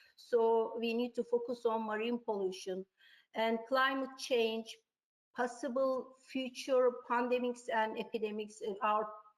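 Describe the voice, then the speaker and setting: A woman talks at a fairly slow pace. Her fairly high pitch holds a monotone, flat intonation. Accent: Turkish. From Turkey. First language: Turkish. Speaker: tourism researcher. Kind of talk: webinar presentation. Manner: halting.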